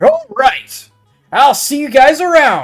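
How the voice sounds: Faint music plays behind a put-on character voice that moves at a fairly slow pace.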